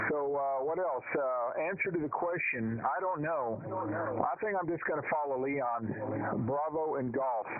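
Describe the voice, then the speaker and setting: Fairly slow and at very even loudness, a man speaks with fairly high pitch and ordinary pitch variation. The recording has audible room echo and noticeable background noise. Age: 60s. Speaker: amateur radio operator, veteran. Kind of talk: radio net check-in. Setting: amateur radio. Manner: halting.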